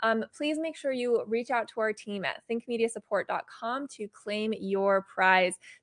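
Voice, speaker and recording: Over a quiet background, in a dry, close sound with no echo, a woman with an unremarkable speaking voice talks fairly slowly at a fairly high pitch, with ordinary pitch variation and hardly any pauses. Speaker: giveaway co-host. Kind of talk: live stream giveaway announcement. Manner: bubbly.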